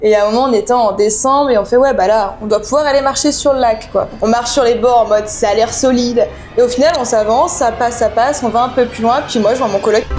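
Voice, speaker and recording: Over music in the background, a woman talks at a fairly quick pace with hardly any pauses. Her pitch sits high. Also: fairly even intonation. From France. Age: 20s. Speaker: volunteer who lived abroad. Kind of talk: podcast interview. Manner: hesitant, many fillers.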